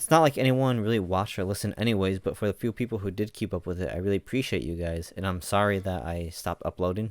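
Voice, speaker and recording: A man rushes along at a very fast pace with hardly any pauses, his fairly low voice showing ordinary pitch variation. Noticeable background noise runs underneath. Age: 20s. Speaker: podcaster. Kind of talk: personal vlog monologue. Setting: home recording.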